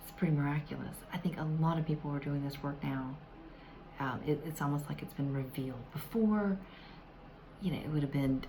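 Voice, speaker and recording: Over light background noise, a woman with a Southern accent speaks at a fairly quick pace in a very deep, low pitch, with ordinary pitch variation and long, frequent pauses. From US South. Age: older. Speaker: self-help vlogger. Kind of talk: tutorial. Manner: hesitant, many fillers. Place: home room. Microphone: phone near.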